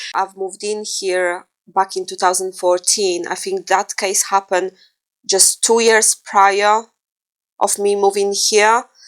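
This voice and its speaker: A woman with a Polish accent speaks in a monotone, flat way at a fairly slow pace, the sound dry and close with no echo. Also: medium pitch for a woman. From Poland. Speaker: true crime podcast co-host. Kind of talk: casual chat. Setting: living room.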